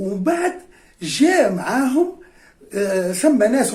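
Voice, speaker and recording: This man speaks with a Cap Bon accent and very wide pitch swings. His pace is fairly slow, with noticeable background noise behind him. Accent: Tunisian Arabic, Cap Bon. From Tunisia, Beni Khiar (Nabeul). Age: 70s. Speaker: retired history and geography teacher, former club player. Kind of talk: reminiscing interview. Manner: hesitant, many fillers and repetitions.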